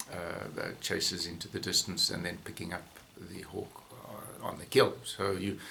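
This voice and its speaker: With noticeable background noise present, the talking proceeds fairly slowly. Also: man. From South Africa, Johannesburg. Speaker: falconer and former veterinarian. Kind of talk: interview. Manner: halting, many fillers.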